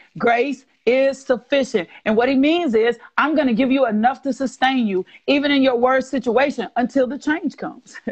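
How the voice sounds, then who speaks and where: A woman speaks with an American accent and a high pitch. Her pitch varies in an ordinary way over a quiet background. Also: moderate pace. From US South. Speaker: guest speaker on faith and healing; guest. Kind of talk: faith talk on a livestream. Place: home room. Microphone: earbuds.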